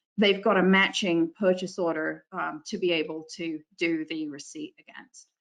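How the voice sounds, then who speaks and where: A woman with an ordinary speaking voice, fairly low in pitch, at a moderate pace with hardly any pauses and big swings in loudness. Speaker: software consultant presenter. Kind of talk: webinar software demo. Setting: online webinar.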